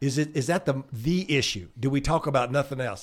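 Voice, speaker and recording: With a Southern US accent, a man speaks in an animated tone at a moderate pace. The recording is very clean, with a silent background. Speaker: political consultant. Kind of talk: casual chat.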